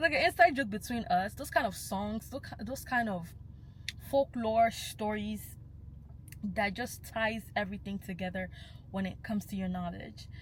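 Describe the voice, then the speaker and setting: A woman speaks in a Nigerian accent at a fairly high pitch. Her voice shows vocal fry and big swings in loudness. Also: lively intonation, moderate pace. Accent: Nigerian (Yoruba) English. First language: Yoruba. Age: young. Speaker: cultural commentator. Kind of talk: vlog monologue.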